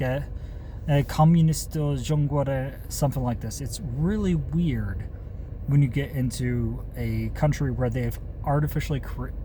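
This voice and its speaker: Speaking at a fairly slow pace with an American accent, a man is heard with audible room echo and noticeable background noise. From USA. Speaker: channel host, commentator. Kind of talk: casual monologue. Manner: halting, with self-corrections.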